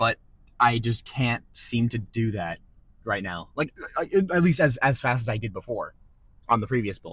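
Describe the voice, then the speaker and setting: A man at medium pitch talks at a moderate pace with ordinary pitch variation, leaving long, frequent pauses. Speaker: fitness vlogger. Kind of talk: casual vlog monologue. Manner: halting, repetitive; loud.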